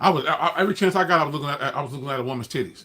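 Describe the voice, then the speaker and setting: A man with an American accent and ordinary pitch variation, amid noticeable background noise. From California. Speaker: livestreamer. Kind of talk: casual livestream monologue. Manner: fast; halting, repetitive false starts.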